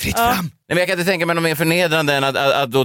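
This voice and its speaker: A man speaks in a dry, close sound with no echo at all. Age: 30s. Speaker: podcast host. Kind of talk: casual chat.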